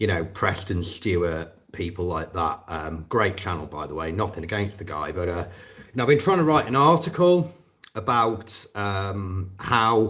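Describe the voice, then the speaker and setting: In a very clean recording with a silent background, a man with a British accent speaks fairly slowly in a fairly low pitch with a bright, sharp tone. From northwest England. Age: 40s. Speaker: war veteran and drone operator vlogger. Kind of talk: live stream casual monologue. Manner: hesitant, repeating words.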